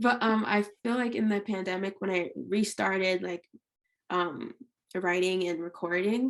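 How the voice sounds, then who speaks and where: A woman speaks with an ordinary speaking voice at a medium pitch. Her pace is moderate, and her pitch varies in an ordinary way. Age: 20s. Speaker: R&B singer-songwriter. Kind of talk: podcast interview. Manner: casual, filler-heavy.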